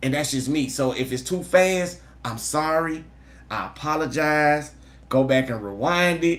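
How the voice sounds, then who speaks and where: An animated man with a fairly high pitch and ordinary pitch variation speaks amid audible room echo. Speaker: tarot reader. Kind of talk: live tarot reading. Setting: livestream. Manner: fast.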